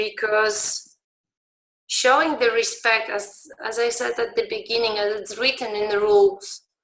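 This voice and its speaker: The speaker is a woman who keeps a fairly slow pace. The intonation stays fairly even. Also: fairly high pitch for a woman. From Poland. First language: Polish. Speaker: beach handball referee. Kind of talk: conference talk. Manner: halting, many fillers and restarts.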